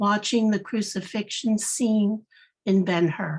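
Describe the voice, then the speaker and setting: Speaking very slowly, a woman uses a fairly high, somewhat breathy voice. Her pitch varies in an ordinary way. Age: 60s. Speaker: workshop participant. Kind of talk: reading own poem aloud.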